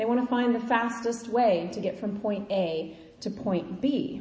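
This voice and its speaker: Over noticeable background noise and audible room echo, a woman speaks with a Midwestern US accent. Her pitch is high, with ordinary variation. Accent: US Midwest. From Kansas. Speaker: preacher. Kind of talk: sermon.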